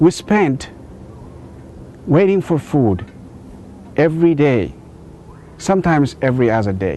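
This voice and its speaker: With an Ethiopian accent, a man talks fairly slowly at a fairly high pitch, his pitch swinging very widely and his speech broken by long, frequent pauses. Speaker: inventor telling his life story. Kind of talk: storytelling speech.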